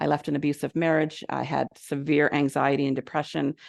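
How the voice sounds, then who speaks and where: A woman with a Canadian accent and vocal fry, her dry, close sound free of echo against a quiet background. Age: 60s. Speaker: recovery consultant and speaker. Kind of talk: presentation talk to an audience. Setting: venue with live audience and Zoom. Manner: loud; casual, conversational with fillers.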